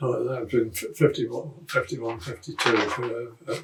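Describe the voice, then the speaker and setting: A man with a Norfolk accent speaks at a moderate pace. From Great Yarmouth, Norfolk, England. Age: 80s+. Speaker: RAF veteran. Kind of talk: interview answer.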